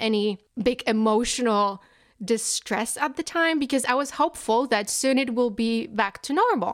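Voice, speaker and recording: In a very clean recording with a silent background, a woman with a Polish accent talks at a fairly slow pace and a fairly high pitch, using ordinary pitch variation. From Poland. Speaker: podcast guest. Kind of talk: casual chat.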